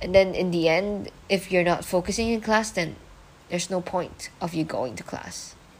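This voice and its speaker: Noticeable background noise sits behind a woman speaking. Her pitch is medium, with ordinary pitch variation. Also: moderate pace. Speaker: podcast host. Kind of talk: casual solo podcast monologue. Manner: rambling, filler words, casual.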